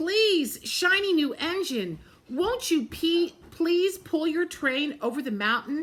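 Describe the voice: A put-on character voice with a fairly bright tone. The intonation is lively and the pace is slow. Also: woman, extremely high pitch for a woman.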